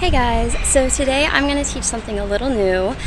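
Noticeable background noise sits behind a woman speaking fairly quickly. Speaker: fitness instructor. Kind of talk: tutorial intro. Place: street. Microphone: phone near.

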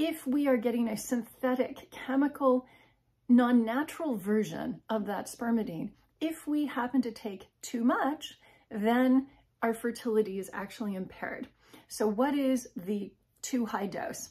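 Speech comes at a fairly slow pace with ordinary pitch variation. The background is quiet. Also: woman, high pitch for a woman. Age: 50s. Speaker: health and wellness video creator; wellness video creator. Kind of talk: informal educational talk to camera. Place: home room. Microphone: phone near.

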